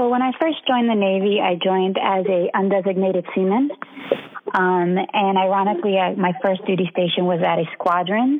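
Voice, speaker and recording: A woman talks at a fairly quick pace with an American accent and very even loudness. Noticeable background noise sits behind her. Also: medium pitch for a woman, ordinary pitch variation. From Philadelphia, Pennsylvania. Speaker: navy legalman, chief. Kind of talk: casual interview.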